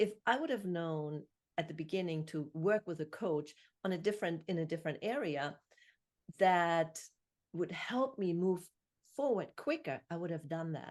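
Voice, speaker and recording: Pausing long and often, a woman speaks at a moderate pace. Her voice sits fairly low, with ordinary pitch variation. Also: quiet background. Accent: German. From Germany. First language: German. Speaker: podcast host and author. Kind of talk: interview.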